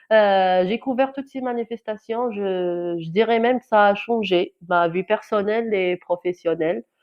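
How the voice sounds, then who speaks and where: A woman speaks at a fairly slow pace with hardly any pauses, her medium pitch moving with ordinary variation. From Algeria, Kabylie. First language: Kabyle (Amazigh) (speaking French). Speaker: journalist. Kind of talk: testimony. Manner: halting, many hesitations and repetitions.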